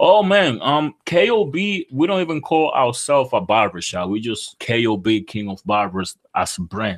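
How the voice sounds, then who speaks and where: The pitch swings very widely. It moves at a moderate pace with hardly any pauses. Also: man, fairly high pitch for a man. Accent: Dominican. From Dominican Republic. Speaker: barber and entrepreneur. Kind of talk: interview.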